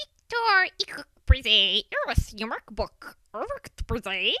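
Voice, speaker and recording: A put-on character voice, female-sounding and high-pitched, with very wide pitch swings at a very slow pace. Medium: read story. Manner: chattering, squawking.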